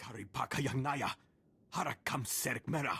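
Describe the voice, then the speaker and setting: A man puts on a raspy character voice at medium pitch, speaking at a moderate pace. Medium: video game.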